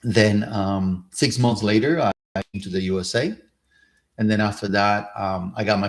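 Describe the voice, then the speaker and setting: On a very clean recording with a silent background, a man with a Cuban accent speaks in a fairly low pitch with fairly even intonation. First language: Spanish. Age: 50s. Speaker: career and real estate coach. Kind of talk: live stream talk. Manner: halting, many fillers.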